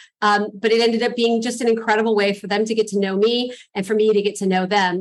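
A fairly high-pitched woman with a Californian accent, fairly quick, flat and monotone. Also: hardly any pauses. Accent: General American (California). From Los Angeles, US. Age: 40s. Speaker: real estate investor. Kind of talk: interview. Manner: chatty.

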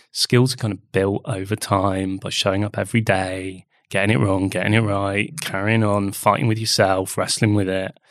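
Fairly low in pitch, this man speaks with an English accent. His pace is moderate and his intonation fairly even. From England. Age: 40s. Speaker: artist. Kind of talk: interview conversation.

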